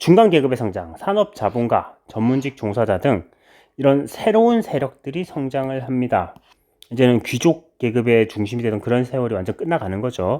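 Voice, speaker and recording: In a very clean recording with a silent background, an unremarkable speaking voice moves at a moderate pace with lively intonation. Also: man, medium pitch for a man. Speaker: history teacher. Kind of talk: lecture. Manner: casual conversational.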